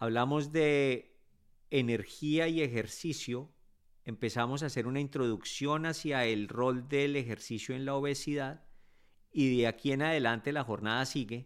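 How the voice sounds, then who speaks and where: A man talks at a fairly slow pace with fairly even intonation and a medium pitch, in a plain, everyday voice, on a very clean recording with a silent background. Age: 50s. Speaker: physician podcast host. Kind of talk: educational monologue.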